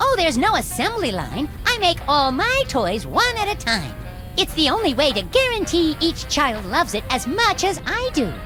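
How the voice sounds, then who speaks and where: A cartoonish character voice with a high pitch plays over loud music in the background. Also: moderate pace. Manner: earnest, naive, eager.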